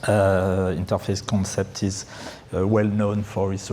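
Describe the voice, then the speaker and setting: A man with a French accent speaks at a fairly low pitch and a fairly slow pace in a monotone, flat intonation, with noticeable background noise behind him. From France. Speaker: pre-sales engineer. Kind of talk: conference presentation. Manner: halting, many fillers.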